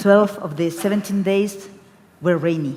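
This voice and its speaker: A woman speaks at a fairly slow pace with a Spanish accent, her voice carrying an audible room echo over noticeable background noise. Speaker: book fair director. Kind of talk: panel discussion. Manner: halting.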